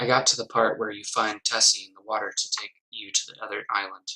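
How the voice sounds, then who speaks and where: A fairly quick pace and a calm tone. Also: man. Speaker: gaming YouTuber. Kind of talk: creepypasta story reading. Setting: poor-quality home mic. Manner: low-key, calm.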